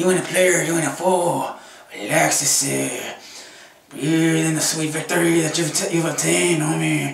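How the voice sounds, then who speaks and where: There is a slight echo as a man in a put-on character voice speaks at a moderate pace with a fairly high pitch. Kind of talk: comedy sketch talk to camera. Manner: exaggerated, swaggering.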